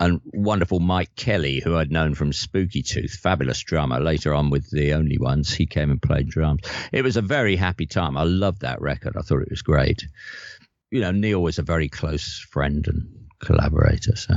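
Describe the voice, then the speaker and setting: Vocal fry runs through this voice, which moves at a moderate pace with ordinary pitch variation. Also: man, very deep, low pitch for a man. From north London. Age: 70s. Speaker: guitarist and singer-songwriter. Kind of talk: casual interview chat.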